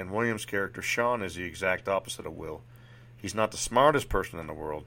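The voice varies its pitch in an ordinary way during plain reading aloud.

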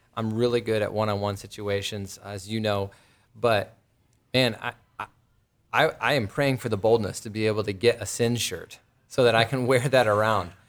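This man has a plain, everyday voice, fairly low in pitch with fairly even intonation. The recording is very clean, with a silent background. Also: moderate pace. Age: 30s. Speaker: podcast host, Bible teacher. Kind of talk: casual interview.

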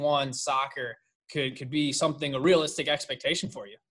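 A man talks at a fairly quick pace in a normal speaking voice with a fairly high pitch, on a very clean recording with a silent background. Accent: American. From Richmond, Virginia. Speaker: sports podcast host. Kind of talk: interview.

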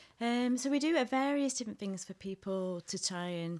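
A woman speaks with a Mancunian accent at a moderate pace, her intonation lively. The recording is very clean, with a silent background. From Manchester, northern England. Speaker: theology hub director. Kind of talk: casual interview chat.

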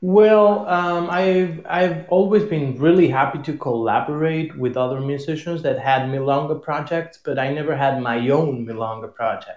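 A man with a Spanish accent talks at a fairly high pitch with hardly any pauses. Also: ordinary pitch variation, moderate pace. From Argentina. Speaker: tango musician. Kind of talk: casual interview. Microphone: echo.

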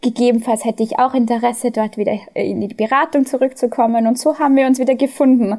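Her voice high in pitch yet dark and mellow in tone, a woman speaks at a fairly quick pace. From Austria. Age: 30s. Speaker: management consultant. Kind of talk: interview.

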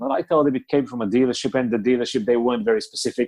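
With a Bulgarian accent, a man speaks at medium pitch in a dry, close sound with no echo. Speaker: car dealer. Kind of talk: casual interview chat.

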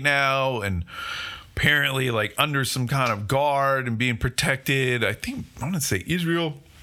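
A man with an unremarkable speaking voice speaks at a fairly slow pace, with a medium pitch and ordinary pitch variation. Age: 40s. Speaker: podcast host. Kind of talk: solo commentary monologue.

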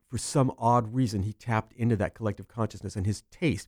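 An American-accented man with an unremarkable speaking voice talks at medium pitch and a moderate pace with fairly even intonation, in a very clean, silent-background recording with a dry, close sound and no echo. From Central California. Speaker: speaker and actor. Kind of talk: casual interview chat. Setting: studio.

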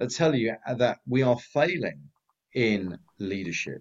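Lively intonation marks this man's a plain, everyday voice, pitched at a medium level. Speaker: business advisor. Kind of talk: panel discussion.

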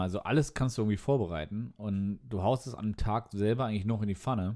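A man talks at a moderate pace with fairly low pitch and a dark, mellow tone. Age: 30s. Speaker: podcast co-host, computer scientist. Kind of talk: casual chat over beer.

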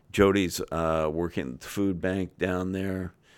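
A man speaks at a very slow pace. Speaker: university president. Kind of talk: casual podcast interview.

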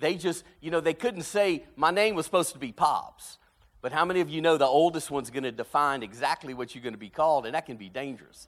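Lively intonation and big swings in loudness mark this very fast delivery. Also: man, fairly high pitch for a man. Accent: American. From South Louisiana, Cajun. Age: 50s. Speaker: pastor. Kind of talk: sermon. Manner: animated.

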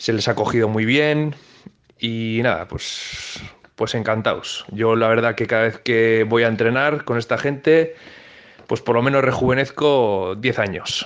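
Speaking fairly slowly, a man at medium pitch shows ordinary pitch variation. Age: 30s. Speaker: futsal player and coach. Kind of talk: interview. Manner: hesitant, many fillers.

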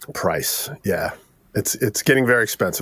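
Very fast-paced male speech with an American accent. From US, New Jersey (Bergen County). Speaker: mastering engineer. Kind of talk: casual interview.

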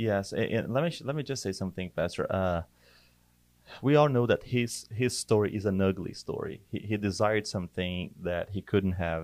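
With a Portuguese accent, a man speaks at a moderate pace in a fairly low pitch with ordinary pitch variation. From Brazil. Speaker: church worship director. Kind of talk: casual chat.

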